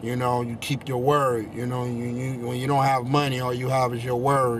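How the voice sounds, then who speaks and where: A man with an American accent talks at a moderate pace in a medium pitch, his intonation flat and monotone. Noticeable background noise and audible room echo fill the recording. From Chicago. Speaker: spoken word poet. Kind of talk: interview. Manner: halting, many fillers and repeats.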